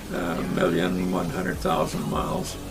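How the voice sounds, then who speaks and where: A man with a Canadian accent speaking at a fairly slow pace, with music in the background. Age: 90s. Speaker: motorcycle rider and dealer. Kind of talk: interview answer.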